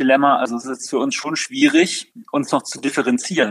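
A man speaks very fast at a fairly high pitch. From Rhineland, Germany (Overath, Bergisches Land near Cologne). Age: 40s. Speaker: company founder. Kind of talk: interview. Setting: video call. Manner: hesitant, many filler sounds.

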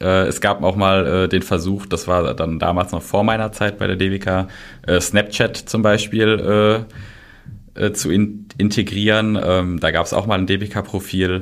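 Monotone, flat intonation at a fairly slow pace. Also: man, fairly low pitch for a man. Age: 20s. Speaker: social media manager. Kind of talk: interview. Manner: hesitant, many filler sounds.

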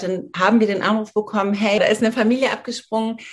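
Fairly quick in pace, a woman speaks at a fairly high pitch. Her voice is somewhat breathy. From Germany, rural northern Hesse. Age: 40s. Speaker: menopause coach and yoga teacher. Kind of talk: interview.

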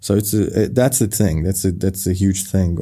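In a Persian accent, a man speaks with a very deep, low pitch and a dark, mellow tone, keeping his intonation fairly even. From Iran, Tehran; moved to Germany at 12. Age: 30s. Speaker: film director. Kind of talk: interview. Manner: halting, many fillers.

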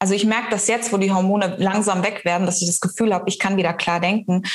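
A woman speaks over noticeable background noise. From East Africa. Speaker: mind and business coach. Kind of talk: casual interview chat.

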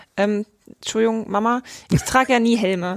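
A woman's fairly high-pitched normal speaking voice with fairly even intonation, dry and close with no echo, on a very clean recording with a silent background. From rural Germany. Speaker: marketing editor. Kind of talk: casual chat. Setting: studio.

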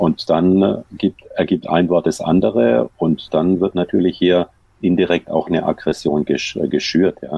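Very even in loudness, a man speaks with a very deep, low pitch and vocal fry, at a fairly slow pace with ordinary pitch variation. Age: 60s. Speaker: sports physician. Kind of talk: interview. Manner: halting.

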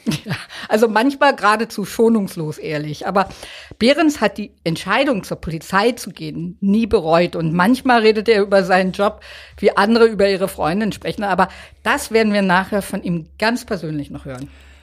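A woman at medium pitch speaks at a moderate pace with lively intonation and big swings in loudness, on a very clean recording with a silent background. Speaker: true crime podcast host, journalist. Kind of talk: true crime storytelling.

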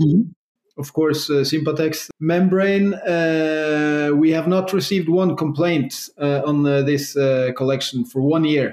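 A normal speaking voice from a man, fairly high in pitch, with fairly even intonation. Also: fairly slow pace. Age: 40s. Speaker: entrepreneur. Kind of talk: interview.

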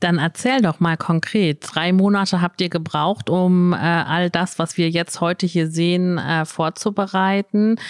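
Speaking at a fairly slow pace, a woman has a fairly low pitch and a normal speaking voice. The recording is very clean, with a silent background and a dry, close sound with no echo. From northwestern Germany (Emsland). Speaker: business network organizer, guest interviewer. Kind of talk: live interview. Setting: live recording in a shop with an audience.

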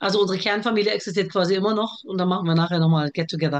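A woman speaks at a very fast pace. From Germany, with early childhood in Iraq. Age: 40s. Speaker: TV producer and author. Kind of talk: casual interview chat. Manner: talkative.

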